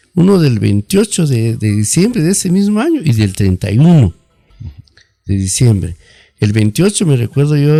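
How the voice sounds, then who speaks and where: A man speaks at a fairly slow pace with lively intonation. His voice has a dark, mellow tone and is somewhat breathy. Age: 60s. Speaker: marimba band director. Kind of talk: radio interview.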